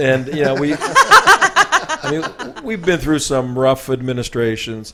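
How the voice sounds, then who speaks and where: Noticeable background noise runs under a man speaking at a very slow pace. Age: 60s. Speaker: talk show host. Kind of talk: interview.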